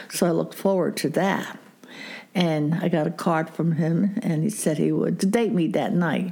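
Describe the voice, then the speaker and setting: Over noticeable background noise, a woman talks at a moderate pace in a fairly low pitch, with ordinary pitch variation and very even loudness. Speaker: grandmother interviewed about her marriage. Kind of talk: interview, storytelling.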